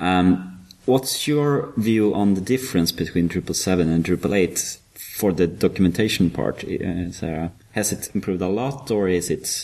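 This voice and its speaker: A man with a Swedish accent, a very deep, low pitch and a dark, mellow tone, lively in intonation and fairly slow in pace. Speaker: podcast co-host, web developer. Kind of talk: interview; casual chat.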